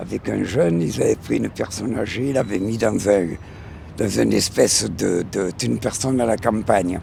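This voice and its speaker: A man with a fairly low-pitched voice talks at a moderate pace, his pitch swinging very widely. Noticeable background noise is present. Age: 80s+. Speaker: passerby interviewed in street poll. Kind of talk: street interview. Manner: animated.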